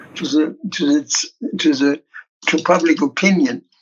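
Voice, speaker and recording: A man speaks at a fairly quick pace in a high voice with lively intonation. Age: 70s. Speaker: senior spiritual teacher, disciple of a guru. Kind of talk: interview conversation.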